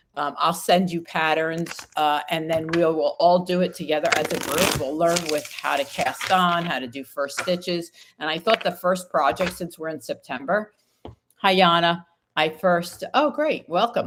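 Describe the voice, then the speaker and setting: A woman with an American accent speaks at a moderate pace and a fairly low pitch, with ordinary pitch variation. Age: 60s. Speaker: tarot reader. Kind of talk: live stream chat. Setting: livestream. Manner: casual, with many fillers.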